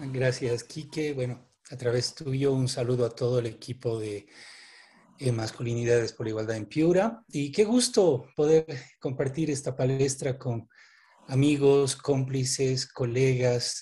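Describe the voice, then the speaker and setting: Speaking at a fairly slow pace, a man has a somewhat breathy, dark, mellow voice of medium pitch with ordinary pitch variation. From Bolivia. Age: 50s. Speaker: development worker, anthropologist. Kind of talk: online panel presentation.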